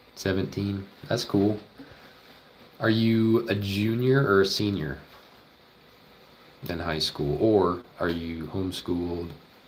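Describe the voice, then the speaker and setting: Speaking very slowly in an American accent, a man with a fairly low pitch and ordinary pitch variation leaves long, frequent pauses, with audible room echo around him. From Oklahoma. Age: 20s. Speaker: veterinary student streamer. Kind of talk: casual livestream chat while studying. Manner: casual, thinking aloud.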